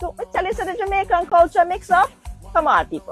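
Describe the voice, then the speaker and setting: Music can be heard underneath. Over it, a woman is talking. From Jamaica. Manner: snarky, condescending.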